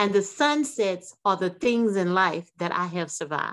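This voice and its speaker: A woman with an American accent has an ordinary speaking voice. She talks at a fairly slow pace with lively intonation. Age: 60s. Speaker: author and aerospace engineer. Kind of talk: radio interview.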